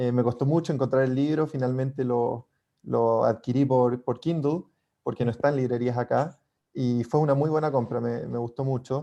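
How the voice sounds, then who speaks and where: This man talks with a Chilean accent at a medium pitch. His tone is dark and mellow, and his intonation fairly even. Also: moderate pace. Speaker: book club member. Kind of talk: book club discussion.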